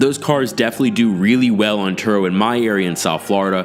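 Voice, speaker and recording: Music plays in the background as a man talks at a fairly quick pace. His pitch is fairly low and his intonation is lively. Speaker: car rental host and business YouTuber. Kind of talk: casual tutorial.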